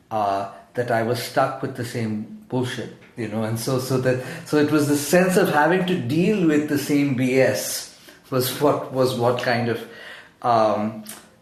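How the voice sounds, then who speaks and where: A fairly slow pace and ordinary pitch variation, with noticeable background noise and audible room echo. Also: man, medium pitch for a man. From Zambia. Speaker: poet. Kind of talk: interview. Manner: halting, many fillers and repetitions.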